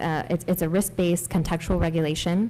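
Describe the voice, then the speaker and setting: A soft-spoken woman talks at a fairly quick pace with fairly even intonation. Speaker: AI policy director on a panel. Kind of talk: panel discussion. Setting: congressional briefing room with audience. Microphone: speaking very close to the mic.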